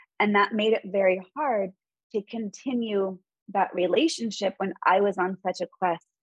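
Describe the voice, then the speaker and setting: At a fairly slow pace, a woman speaks in an unremarkable speaking voice. Her pitch is medium. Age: 40s. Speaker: mindfulness and meditation teacher. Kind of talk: interview.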